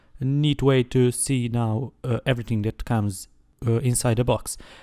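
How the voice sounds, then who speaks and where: A man's dark, mellow tone with fairly even intonation, dry and close with no echo, on a very clean recording over a silent background. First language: not English. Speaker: tech reviewer. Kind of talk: product review. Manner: hesitant, many fillers.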